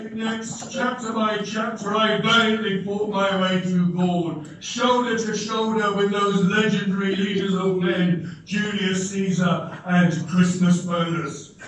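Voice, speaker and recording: Strong room echo and light background noise surround a man who speaks very slowly at a high pitch with hardly any pauses. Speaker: club president. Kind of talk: competition speech. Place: hall. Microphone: camera far.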